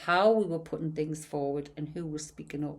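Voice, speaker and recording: A woman speaks in a Geordie accent. Her pitch is very deep and low, and her intonation stays fairly even. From northern England, Newcastle/Gateshead. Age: 60s. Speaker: podcast host. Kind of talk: casual chat.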